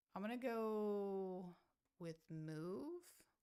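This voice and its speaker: A soft-spoken woman at a medium pitch with ordinary pitch variation. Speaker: chess streamer. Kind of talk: live commentary. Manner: halting.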